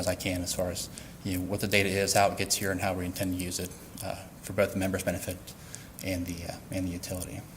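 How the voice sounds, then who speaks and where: A man with an American accent talks at a fairly quick pace in a very deep, low pitch. Noticeable background noise runs behind him. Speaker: utility IT specialist presenting at workshop. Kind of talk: presentation to workshop audience. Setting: workshop room with audience. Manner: fast; many fillers, uh and repeats.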